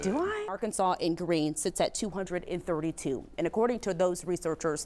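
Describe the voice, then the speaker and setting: With an unremarkable speaking voice, a woman talks at a moderate pace and medium pitch, her loudness very even and her pitch varying in an ordinary way. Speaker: news anchor and reporter. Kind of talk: TV news anchoring and live reporting.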